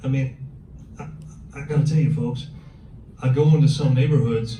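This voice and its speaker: A man talks at a moderate pace with ordinary pitch variation. The room echo is audible and the background noise is noticeable. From Germany. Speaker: police officer. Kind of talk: workshop talk. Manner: conversational, addresses audience directly.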